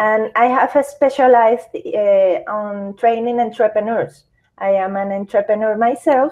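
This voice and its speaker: Ordinary pitch variation comes with a fairly slow pace of speech. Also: woman, fairly high pitch for a woman. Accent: Venezuelan. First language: Spanish. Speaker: psychologist and entrepreneur. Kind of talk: interview. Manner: halting.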